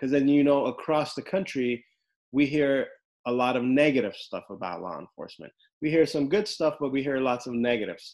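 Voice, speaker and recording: Speaking in a normal speaking voice with an American accent, a man with a fairly high pitch talks at a fairly quick pace, with ordinary pitch variation and big swings in loudness. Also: quiet background. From Los Angeles, US. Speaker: podcast host and criminal defense lawyer. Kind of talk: casual interview.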